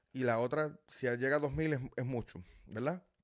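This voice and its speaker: A man at medium pitch, fairly slow pace, very clean recording and silent background. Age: 30s. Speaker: personal finance YouTuber. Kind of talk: casual video talk to viewers. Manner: animated, filler-heavy with repetitions.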